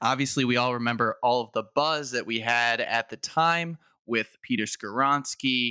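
The speaker talks at a very slow pace in a bright, sharp tone with an American accent, the sound dry and close with no echo. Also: man, very clean recording, silent background. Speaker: sports podcast co-host. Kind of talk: casual chat.

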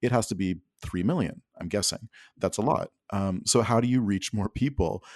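A man speaks at a moderate pace with a Canadian accent, his fairly low pitch showing ordinary variation. It is an ordinary speaking voice, with a dry, close sound, no echo and a quiet background. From Alberta, Canada. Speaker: podcast network director. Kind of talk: casual interview.

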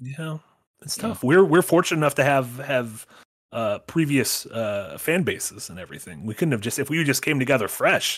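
An unremarkable speaking voice, a man's fairly high pitch carries lively intonation and big swings in loudness at a moderate pace, on a very clean recording with a silent background. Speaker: podcast co-host. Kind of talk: casual chat.

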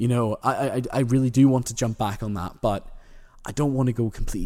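Over a silent background on a very clean recording, a man with an Irish accent speaks at a fairly quick pace in a dark, mellow tone. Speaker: podcast host. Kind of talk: monologue, casual update to listeners. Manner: casual, chatty, repeats emphasis.

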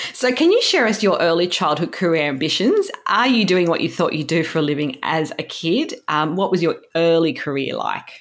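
A woman speaks with an Australian accent at a moderate pace. She barely pauses at all. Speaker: podcast host and producer. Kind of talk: interview, conversational.

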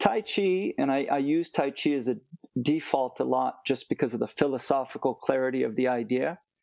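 A man with an American accent and a normal speaking voice talks at a fairly quick pace and a medium pitch, with ordinary pitch variation and very even loudness. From United States. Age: 50s. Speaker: martial arts teacher. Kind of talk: interview.

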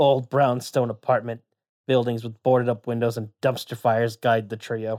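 The man's voice sits at a medium pitch. His intonation is monotone and flat. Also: dry, close sound with no echo. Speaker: podcast co-host. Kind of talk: reading aloud; casual chat. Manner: flat, gloomy delivery.

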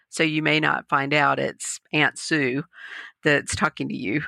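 A woman speaks in a very deep, low pitch with vocal fry and a bright, sharp tone. The sound is dry and close with no echo, on a very clean recording with a silent background. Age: 50s. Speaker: EFT practitioner and meditation teacher. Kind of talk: interview conversation.

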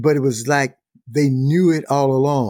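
A fairly slow delivery in a Mississippi accent, with a dark, mellow tone. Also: man. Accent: Southern US (Mississippi). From US South, Mississippi Delta. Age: 70s. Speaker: author and speaker. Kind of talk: interview.

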